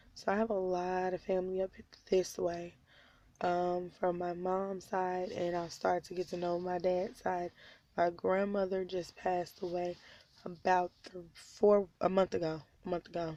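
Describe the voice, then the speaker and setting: A woman speaks at a medium pitch with a dark, mellow tone and monotone, flat intonation. Her pace is moderate. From Oklahoma (Tulsa). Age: 20s. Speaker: vlogger, stay-at-home mom. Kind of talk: personal vlog confession. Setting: in a car at night.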